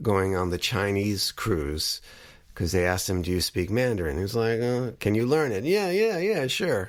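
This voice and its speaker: A man with an ordinary speaking voice, fairly low pitch and a moderate pace. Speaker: podcast host, filmmaker. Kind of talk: podcast commentary.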